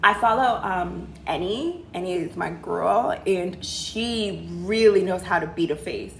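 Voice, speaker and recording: In an American accent, the speaker uses an animated tone, with audible room echo. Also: woman. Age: 30s. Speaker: livestream host, career and lifestyle advisor. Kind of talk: casual livestream Q&A.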